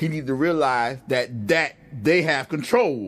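This is a normal speaking voice with lively intonation. It moves at a fairly slow pace. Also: man. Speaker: podcast co-host. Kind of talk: casual chat.

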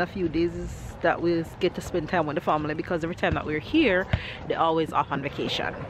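A woman at a fairly quick pace, in a dry sound with no echo and light background noise. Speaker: family vlogger. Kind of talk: casual vlog chat. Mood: relaxed, cheerful. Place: street. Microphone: phone near.

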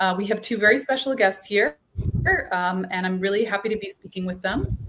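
The speaker is a woman with a medium pitch. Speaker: museum curator hosting the program. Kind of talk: moderator welcome to a live virtual program. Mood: warm, welcoming. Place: office.

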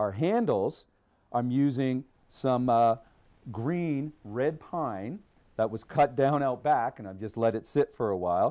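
The voice has a dark, mellow tone and ordinary pitch variation. It moves at a moderate pace against a quiet background. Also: man. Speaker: woodworking show host. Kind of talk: tutorial. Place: workshop.

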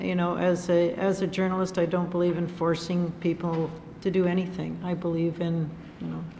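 A woman with a fairly low pitch speaks at a moderate pace in a dark, mellow tone, her monotone, flat intonation touched with vocal fry.

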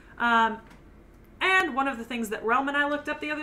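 Over noticeable background noise, a woman speaks loudly. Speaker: anime podcast co-host. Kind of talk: casual chat. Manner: comes across loud.

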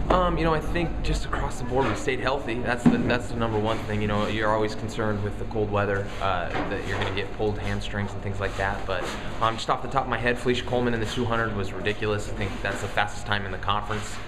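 A man talks at a very fast pace while loud background noise fills the recording. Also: hardly any pauses. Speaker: college track coach. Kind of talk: interview answer.

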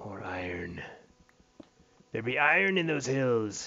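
A man puts on a raspy character voice at medium pitch. He talks at a fairly slow pace. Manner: gruff, swashbuckling.

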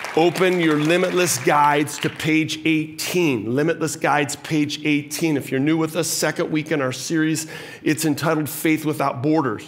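A man talks at a moderate pace. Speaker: senior pastor. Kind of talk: sermon. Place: church.

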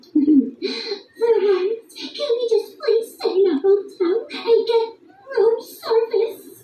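A woman performs a put-on character voice at an extremely high pitch. She speaks very slowly with long, frequent pauses. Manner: fussy, prim.

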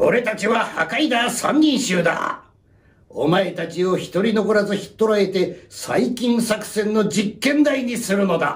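A man puts on a character voice with a high pitch, speaking at a fairly slow pace. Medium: read story.

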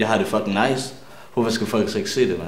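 A man talks with audible room echo around him. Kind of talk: interview answer. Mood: relaxed, enthusiastic. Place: studio.

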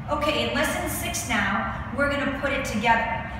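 A woman talks over noticeable background noise in a room with strong echo. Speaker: fitness instructor. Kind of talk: tutorial. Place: gym.

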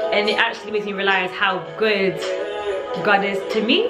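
Loud music plays behind a woman who is talking. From London, England. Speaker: lifestyle blogger. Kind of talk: casual talk to camera. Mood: reflective, warm, grateful. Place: home room.

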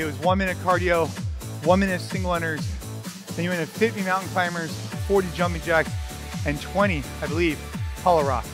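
Clear music plays in the background while a man talks at a very fast pace. The sound is dry, with no echo. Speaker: fitness coach. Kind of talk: workout instruction tutorial. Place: gym.

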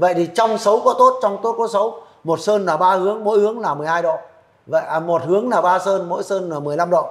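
Here a man speaks at a high pitch. He keeps a moderate pace with ordinary pitch variation. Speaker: feng shui expert. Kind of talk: expert advice Q&A. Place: studio. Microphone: lapel.

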